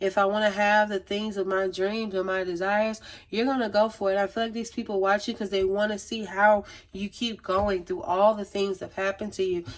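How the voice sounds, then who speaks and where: With monotone, flat intonation, a woman speaks at a fairly quick pace in a medium pitch. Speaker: tarot reader. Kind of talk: tarot reading monologue. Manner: fast.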